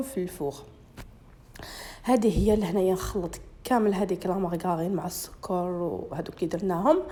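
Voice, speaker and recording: A woman of medium pitch talks at a moderate pace in a dark, mellow tone, with ordinary pitch variation. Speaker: cooking YouTuber. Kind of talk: cooking tutorial.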